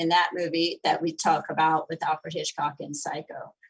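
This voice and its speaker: This woman talks at a moderate pace. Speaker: architectural historian presenter. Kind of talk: Q&A after a lecture. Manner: animated.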